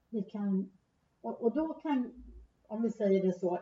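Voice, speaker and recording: At a very slow pace, a woman speaks with lively intonation at a medium pitch, her tone dark, mellow and somewhat breathy. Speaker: theologian and church official. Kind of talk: casual theological conversation. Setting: Uppsala, recorded in person. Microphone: poor sound quality, hard to hear.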